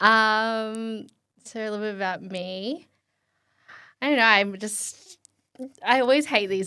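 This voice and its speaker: In an Australian accent, a woman with a bright, sharp tone and medium pitch speaks at a fairly slow pace with fairly even intonation. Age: 20s. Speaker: podcast guest. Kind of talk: casual chat. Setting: studio.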